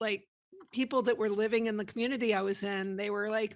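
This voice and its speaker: Fairly even intonation and a fairly high pitch mark this woman's delivery in a normal speaking voice. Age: 60s. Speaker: veterinary technician. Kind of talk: podcast interview.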